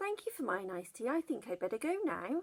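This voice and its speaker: A woman uses a put-on character voice with a high pitch and very wide pitch swings. She talks at a fairly quick pace. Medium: read story. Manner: polite.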